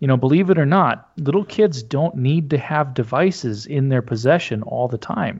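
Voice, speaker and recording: Speaking with an Upper Midwest accent, a man with a fairly high, somewhat breathy voice keeps a moderate pace with hardly any pauses and lively intonation. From North Dakota, rural. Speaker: Lutheran pastor. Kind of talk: interview.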